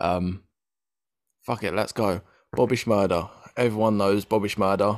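Moderate in pace, this man's speech sits fairly low in pitch. The intonation stays monotone and flat. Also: very clean recording, silent background. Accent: English. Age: 20s. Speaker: podcast host. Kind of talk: casual chat.

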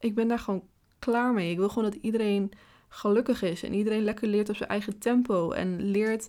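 Her intonation monotone and flat, a woman speaks at a fairly high pitch on a very clean recording with a silent background. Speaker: podcast host. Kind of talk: casual monologue. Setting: home office.

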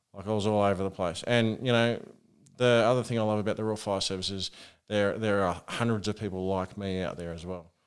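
Over a silent background in a very clean recording, a man with an Australian accent speaks very fast in a fairly low voice with fairly even intonation. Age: 40s. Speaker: rural firefighter. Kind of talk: casual interview.

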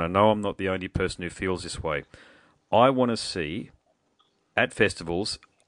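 Over a quiet background, a man with an Australian accent speaks with a very deep, low pitch and ordinary pitch variation. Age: 40s. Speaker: podcast host. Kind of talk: casual chat. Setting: phone call.

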